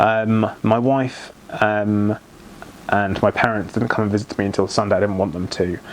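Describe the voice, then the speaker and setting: A man speaks at a moderate pace, his pitch fairly low. Noticeable noise sits in the background. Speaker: thyroid cancer patient vlogger. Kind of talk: personal vlog testimony. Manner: hesitant, many ums.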